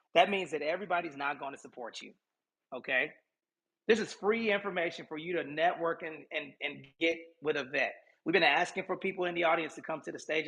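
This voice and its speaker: Very fast and bright with a sharp tone, a man's high voice shows ordinary pitch variation and big swings in loudness over a quiet background. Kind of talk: live social audio room talk. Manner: animated.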